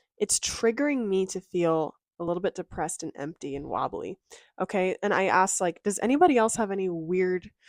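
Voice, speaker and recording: A woman with a Californian accent, medium pitch and ordinary pitch variation, at a fairly quick pace, in a very clean recording with a silent background and a dry, close sound with no echo. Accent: California girl. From Southern California. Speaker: mental health and self-help creator. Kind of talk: casual vlog talk to camera. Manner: chatty, with fillers like um and like.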